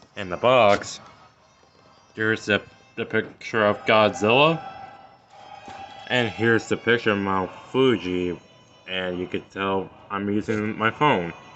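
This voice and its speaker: Music plays in the background while a man speaks with long, frequent pauses. His pitch is fairly low, with ordinary variation. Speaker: toy reviewer. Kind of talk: product review video.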